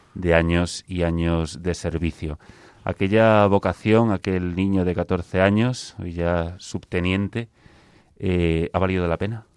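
A man's very deep, low voice at a very slow pace, dry and close with no echo. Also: fairly even intonation. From Spain, Ourense (Galicia). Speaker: military chaplain and radio host. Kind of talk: radio program hosting. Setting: radio studio.

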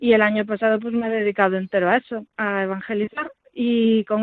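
Here is an unremarkable speaking voice with ordinary pitch variation. It keeps a moderate pace. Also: woman. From Galicia, Vigo. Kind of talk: interview testimony. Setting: phone call.

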